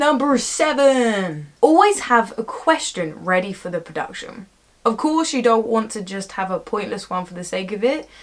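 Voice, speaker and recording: A woman speaks at a moderate pace with a fairly high pitch, very wide pitch swings, and big swings in loudness. Background noise is noticeable. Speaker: actor giving audition tips. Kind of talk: casual vlog tutorial. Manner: mumbling words at times.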